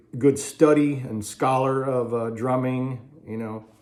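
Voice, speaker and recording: A man speaks in a dark, mellow and relaxed tone. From Ohio, US Midwest. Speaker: drummer and vlogger. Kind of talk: casual storytelling. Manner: relaxed, many fillers.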